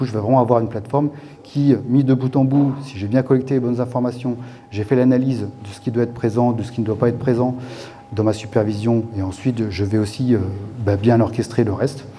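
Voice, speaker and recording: Noticeable background noise sits under a man's medium-pitched voice. He talks at a fairly quick pace with fairly even intonation. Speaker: tech company executive speaking at conference. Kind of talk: conference talk. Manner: fast; hesitant, many fillers.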